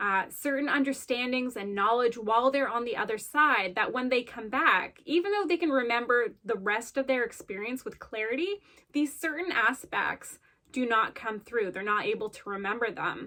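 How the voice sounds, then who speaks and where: A woman's high, bright, sharp voice at a moderate pace, with ordinary pitch variation, in a very clean recording with a silent background. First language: Gujarati. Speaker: bead artist. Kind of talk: video monologue.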